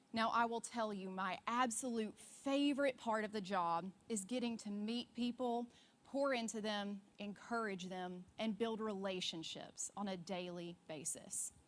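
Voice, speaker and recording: A woman speaks at a fairly slow pace with a Deep South accent. Her pitch varies in an ordinary way. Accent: Southern US, deep South. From US South, Alabama. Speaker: church ministry worker, conference speaker. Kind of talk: conference talk.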